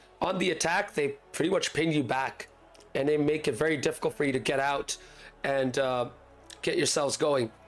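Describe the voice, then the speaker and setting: Music plays behind a man talking at a moderate pace. His loudness is very even, and his pitch varies in an ordinary way. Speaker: esports league caster and streamer. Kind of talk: live stream pre-match commentary. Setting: live stream with chat. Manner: casual, chatty.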